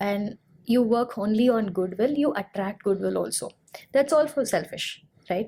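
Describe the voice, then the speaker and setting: A woman talks at a moderate pace in a fairly high pitch, with ordinary pitch variation. Her tone is dark and mellow, and somewhat breathy. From India, Chennai. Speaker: CEO and radio jockey. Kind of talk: podcast interview.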